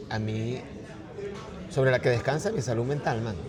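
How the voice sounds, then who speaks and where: A man at a medium pitch, with noticeable background noise and audible room echo. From Venezuela, partly raised in China. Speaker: artist and writer. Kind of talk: casual interview conversation.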